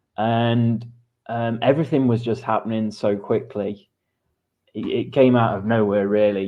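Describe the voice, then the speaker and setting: A man's medium-pitched voice with an English accent, fairly even intonation and a fairly slow pace. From England. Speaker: creative director. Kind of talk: interview.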